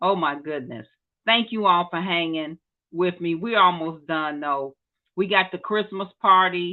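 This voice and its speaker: A woman speaks in an animated tone at a fairly slow pace. Her pitch is fairly low, with ordinary variation. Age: 50s. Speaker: church network host. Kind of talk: casual announcements to online viewers.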